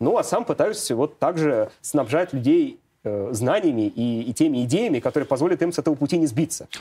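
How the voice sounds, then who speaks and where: Here is an unremarkable speaking voice from a man, fairly high in pitch. He talks at a moderate pace with lively intonation. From Moscow, Russia. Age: 30s. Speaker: economist. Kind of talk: interview.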